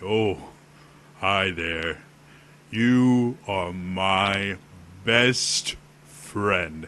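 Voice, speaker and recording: In a put-on character voice, a man speaks at a very slow pace with long, frequent pauses. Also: fairly low pitch for a man. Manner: friendly, warm.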